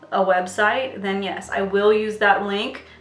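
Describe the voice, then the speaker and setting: The speech moves at a moderate pace amid audible room echo and noticeable background noise. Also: woman. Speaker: beauty youtuber. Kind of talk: casual chat. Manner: animated.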